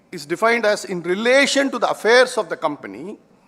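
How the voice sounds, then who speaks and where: A man with an Indian accent, high-pitched, with a bright, sharp tone, lively intonation and a moderate pace. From India, schooled in Calcutta. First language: Hindi. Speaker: tax and company law speaker. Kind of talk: conference lecture.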